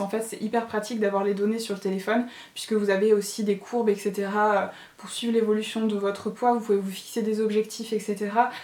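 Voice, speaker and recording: With noticeable background noise behind her, a woman talks at a fairly quick pace in a fairly high voice. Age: 30s. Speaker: lifestyle vlogger. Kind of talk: casual vlog product review. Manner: hesitant, many fillers.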